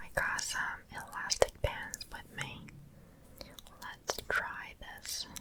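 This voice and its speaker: Someone whispers very slowly, leaving long, frequent pauses, with noticeable background noise behind. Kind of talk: ASMR whispered comment reading. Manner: whispered, soft-spoken.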